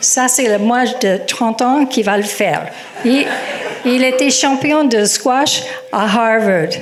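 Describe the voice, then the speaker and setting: Through noticeable background noise and audible room echo, a woman speaks very slowly at a high pitch. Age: 70s. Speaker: storyteller. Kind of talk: personal story told to audience. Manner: hesitant, with many fillers.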